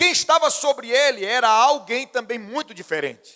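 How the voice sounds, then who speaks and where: A man speaks in a raised, projected voice with an extremely high pitch. His tone is bright and sharp, and his intonation lively. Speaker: pastor. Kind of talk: sermon.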